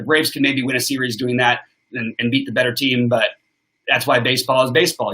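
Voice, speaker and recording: Very fast in pace, a man talks with a bright, sharp tone at a medium pitch. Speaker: sports betting show host. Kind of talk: live stream sports analysis. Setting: live stream with chat. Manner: forceful.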